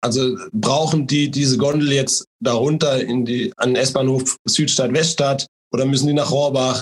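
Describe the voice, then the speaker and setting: A man with a fairly high pitch speaks at a moderate pace, somewhat breathy, with fairly even intonation, in dry, close sound with no echo. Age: 30s. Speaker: local politician and mayoral candidate. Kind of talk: interview. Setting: online call.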